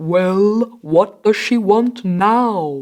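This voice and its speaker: This is a put-on character voice, female-sounding and fairly high in pitch. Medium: read story.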